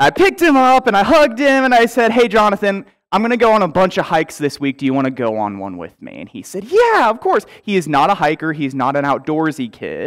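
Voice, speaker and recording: Against a quiet background, a man rushes at a very fast pace with hardly any pauses, very wide pitch swings and big swings in loudness. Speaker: pastor. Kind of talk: sermon. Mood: warm, lightly humorous. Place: church. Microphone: headset.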